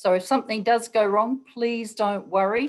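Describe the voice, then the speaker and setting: Talking at a moderate pace, a woman with an Australian accent has a fairly high pitch. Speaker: webinar moderator. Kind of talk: webinar moderation. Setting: video call.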